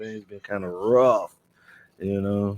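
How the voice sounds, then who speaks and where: A man talks with a Southern US accent and fairly even intonation. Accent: Southern US country. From Alabama, US South. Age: 40s. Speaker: truck driver and Navy veteran. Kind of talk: casual podcast conversation. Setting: podcast recording.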